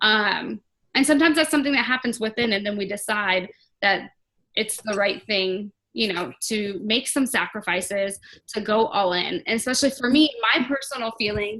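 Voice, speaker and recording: This woman's voice sits fairly high and carries a bright, sharp tone. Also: ordinary pitch variation. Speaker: team leader in direct sales business. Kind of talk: team call pep talk. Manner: fast.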